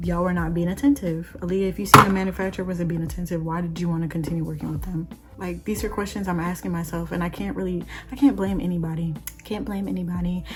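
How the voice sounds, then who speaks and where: The speech comes at a very fast pace. Music plays in the background. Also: woman. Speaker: beauty influencer. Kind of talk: casual chat.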